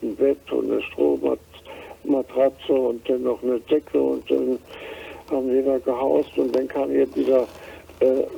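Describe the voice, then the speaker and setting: A man speaks very slowly while noticeable background noise continues around him. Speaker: war refugee. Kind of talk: interview answer, personal recollection. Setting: phone line.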